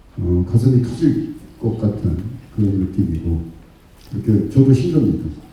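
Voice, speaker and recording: A man's dark, mellow, somewhat breathy voice at a moderate pace with lively intonation, long and frequent pauses, and audible room echo. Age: 60s. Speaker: district head. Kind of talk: public speech. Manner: impassioned.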